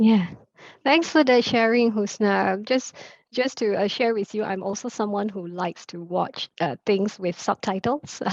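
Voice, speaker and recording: A woman with a Chaoshan accent speaks fairly slowly at medium pitch with ordinary pitch variation. Her voice sounds dry and close with no echo, over a quiet background. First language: Teochew. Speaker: moderator. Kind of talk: panel moderation. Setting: online event.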